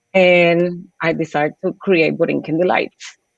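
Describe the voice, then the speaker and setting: A woman with a Puerto Rican accent. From Puerto Rico. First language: Spanish. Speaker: small business owner. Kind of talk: personal story.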